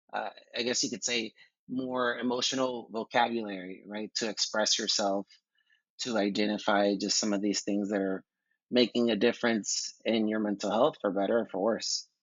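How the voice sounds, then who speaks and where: A man with a Spanish accent speaks at a moderate pace in a fairly low, flat monotone. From Texas (Houston). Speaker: psychotherapist. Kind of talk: interview.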